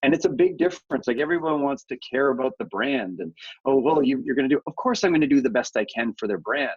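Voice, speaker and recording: In a Canadian accent, a man with an ordinary speaking voice talks fairly quickly at a fairly high pitch with lively intonation, the sound dry and close with no echo. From Canada. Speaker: media company founder and CEO. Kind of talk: podcast interview.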